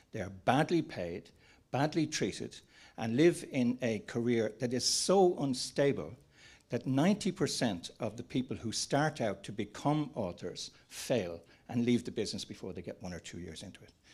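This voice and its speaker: In an Irish accent, a man at medium pitch speaks at a moderate pace, with very wide pitch swings and big swings in loudness. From Ireland. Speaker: panel moderator, screenwriters' federation executive. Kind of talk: panel discussion. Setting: conference with audience and online.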